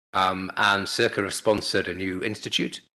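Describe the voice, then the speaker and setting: A man with a British accent. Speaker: chemistry professor. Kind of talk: lecture. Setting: seminar talk. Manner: halting, many fillers.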